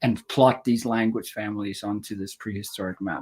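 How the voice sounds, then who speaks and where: Mumbling with fairly even intonation at a moderate pace, in a very clean recording with a silent background. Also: man. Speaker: historical linguist. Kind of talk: interview.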